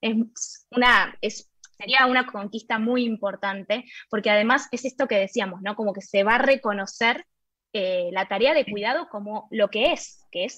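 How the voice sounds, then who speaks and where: Speaking at a fairly slow pace, a woman uses a fairly high pitch and a bright, sharp tone. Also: ordinary pitch variation. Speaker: radio co-host. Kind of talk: casual chat.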